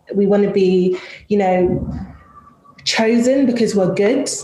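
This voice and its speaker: A woman speaks at a moderate pace with a medium pitch. The room echo is audible, and there is noticeable background noise. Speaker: panel moderator in tech. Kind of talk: panel discussion.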